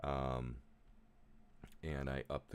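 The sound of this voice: A man with an extremely low pitch speaks at a slow pace.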